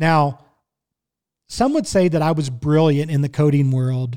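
Talking at a fairly slow pace, a man with a Midwestern US accent has a dark, mellow tone. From Kansas City, Missouri. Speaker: podcast host and barbecue cook. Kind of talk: casual solo monologue. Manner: conversational, friendly.

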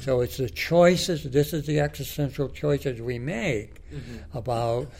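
A man with vocal fry talks at a fairly slow pace. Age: 80s+. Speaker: philosophy professor. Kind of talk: interview.

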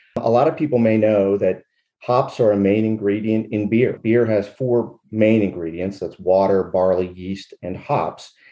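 With an American accent, a man speaks in an unremarkable speaking voice, fairly low in pitch, at a fairly slow pace with ordinary pitch variation. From Western Pennsylvania. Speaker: hop farmer, retired military lawyer. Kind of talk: interview.

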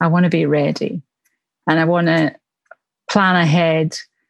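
Moderate pace from a woman in a Glaswegian accent, fairly low in pitch, with a dry, close sound and no echo. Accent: Glaswegian Scottish. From Glasgow, Scotland. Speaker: church minister.

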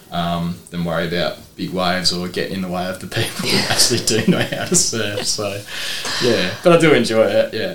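In an Australian accent, a man with a fairly low pitch speaks at a fairly quick pace with lively intonation, amid audible room echo and noticeable background noise. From South Australia, Port Lincoln. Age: 30s. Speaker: surf shop owner and football coach. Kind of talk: casual interview chat.

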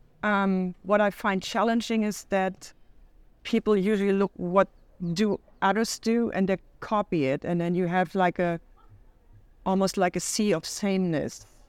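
A woman with a German accent speaks at a medium pitch and a moderate pace, her intonation fairly even and her pauses long and frequent. The recording is very clean and dry, with a close sound, no echo and a silent background. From Germany, Hamburg. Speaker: riding apparel designer and company founder. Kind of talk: interview.

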